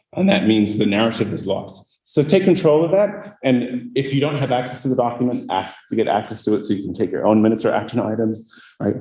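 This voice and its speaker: A man with a medium pitch and a somewhat breathy, dark, mellow tone talks at a very fast pace with hardly any pauses. His pitch swings very widely, and the room echo is audible. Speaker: cybersecurity manager, guest speaker. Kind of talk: lecture. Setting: lecture hall with audience.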